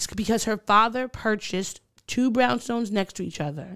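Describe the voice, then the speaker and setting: A woman's unremarkable speaking voice, moderate in pace, with ordinary pitch variation. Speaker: podcast co-host. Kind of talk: casual chat.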